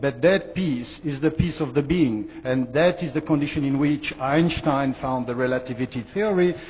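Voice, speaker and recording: A man with a fairly high voice speaks at a moderate pace with ordinary pitch variation. Noticeable background noise is present. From Western country. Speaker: conference speaker. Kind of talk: conference talk.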